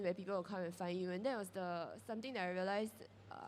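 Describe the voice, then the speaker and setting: A woman with a Singaporean accent. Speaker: character brand founder. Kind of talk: panel discussion.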